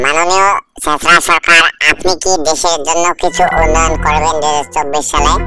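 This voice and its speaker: A cartoonish character voice speaks at a middle pitch and a moderate pace. Faint music plays in the background. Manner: sarcastic, confrontational.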